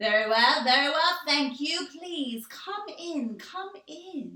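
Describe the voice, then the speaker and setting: In a put-on character voice, a woman speaks at a very slow pace with a high pitch. There is a slight echo. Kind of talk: posh, formal. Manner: gracious, welcoming.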